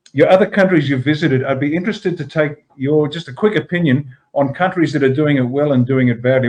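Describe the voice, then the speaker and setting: In an Australian accent, a man speaks at a very fast pace. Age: 60s. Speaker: political party leader. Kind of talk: interview discussion.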